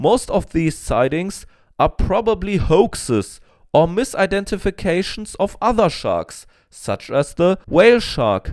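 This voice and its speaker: At a fairly slow pace, a man with a non-native accent speaks in a high voice for a man with lively intonation, on a very clean recording with a silent background. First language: not English. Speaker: paleontology YouTuber. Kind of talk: scripted educational narration.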